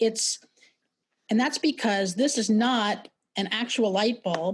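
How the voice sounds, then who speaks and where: A woman with an American accent speaks in a fairly high, somewhat breathy voice. Her loudness is very even and her pitch varies in an ordinary way. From New York City. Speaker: brand strategist and sketching teacher; presenter. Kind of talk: webinar presentation; online workshop lecture. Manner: fast; halting, many fillers and repetitions. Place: home room. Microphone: video call.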